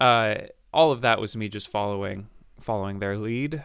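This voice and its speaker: A normal speaking voice with an American accent, at a moderate pace, on a very clean recording with a silent background. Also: man. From upstate New York. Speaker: brass musician and YouTuber. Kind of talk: casual interview.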